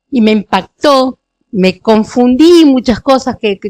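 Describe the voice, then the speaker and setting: This woman talks at a fairly slow pace in a high pitch. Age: 60s. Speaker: parishioner giving testimony. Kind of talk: testimony. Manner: halting, with many fillers.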